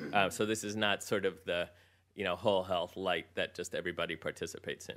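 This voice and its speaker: A man with an American accent talks at a very fast pace, his voice very deep and low. His intonation is monotone and flat, in a very clean recording with a silent background. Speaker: physician, health program leader. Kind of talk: conference presentation.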